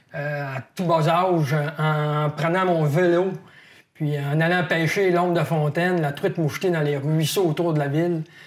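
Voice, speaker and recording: Fairly high in pitch, a man talks at a fairly slow pace with monotone, flat intonation. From Quebec (Saguenay, Quebec City, northern Quebec). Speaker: wildlife biologist, fishing columnist. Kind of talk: interview. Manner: hesitant, many fillers.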